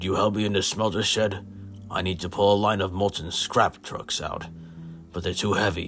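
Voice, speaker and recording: Over clear music in the background, a man puts on a raspy character voice, fairly low in pitch, at a moderate pace. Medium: read story. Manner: falsely polite.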